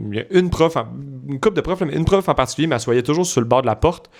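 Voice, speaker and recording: A man talks at a very fast pace in an animated tone with lively intonation. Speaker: podcast co-host. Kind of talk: casual chat.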